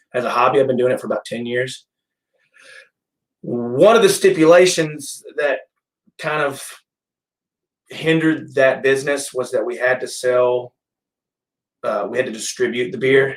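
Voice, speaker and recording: In a Middle Tennessee accent, the speaker keeps a moderate pace with long, frequent pauses and ordinary pitch variation. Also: man. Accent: US Southern (Middle Tennessee). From Tennessee, Gallatin area. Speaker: brewery and restaurant owner. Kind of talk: casual interview. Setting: office, live stream. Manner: halting with fillers.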